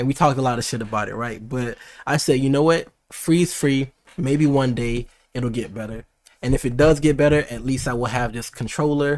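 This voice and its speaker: Heard on a very clean recording with a silent background, a man talks in an animated tone at a medium pitch. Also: fairly quick pace. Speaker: tech and gaming streamer. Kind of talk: live unboxing stream. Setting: livestream on YouTube. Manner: fast; casual, animated.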